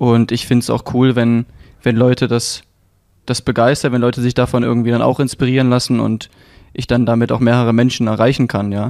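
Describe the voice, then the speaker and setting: The speech moves at a fairly quick pace with monotone, flat intonation. The recording is very clean, with a silent background. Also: man, medium pitch for a man. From Leipzig, eastern Germany. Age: 20s. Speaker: middle-distance runner. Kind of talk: casual interview.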